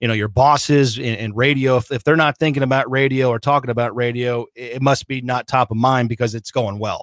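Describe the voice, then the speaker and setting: At a fairly quick pace and with hardly any pauses, a man with an unremarkable speaking voice talks at a medium pitch with fairly even intonation, the sound dry and close with no echo. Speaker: radio play-by-play voice of a football team. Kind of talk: interview answer about his career.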